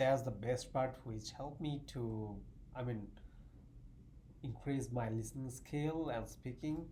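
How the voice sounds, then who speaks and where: In a Bengali accent, a man speaks fairly slowly at a medium pitch with a dark, mellow, somewhat breathy tone, taking long, frequent pauses amid audible room echo. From Bangladesh, southeast. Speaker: math graduate student. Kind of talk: casual interview chat.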